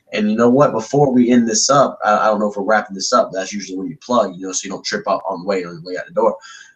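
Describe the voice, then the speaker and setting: Very fast speech from a man with a fairly low pitch, ordinary pitch variation and big swings in loudness, against noticeable background noise. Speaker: backyard wrestler. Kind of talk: casual podcast chat, wrestling promo style. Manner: animated.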